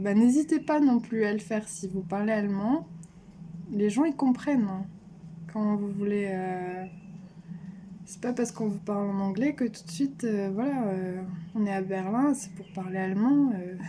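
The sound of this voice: Here a woman speaks at medium pitch. Her tone is dark and mellow. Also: ordinary pitch variation, moderate pace.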